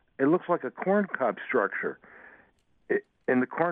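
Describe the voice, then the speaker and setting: With very wide pitch swings, a man's voice moves along at a moderate pace. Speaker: caller. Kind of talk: phone call question. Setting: phone call. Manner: halting, hesitant.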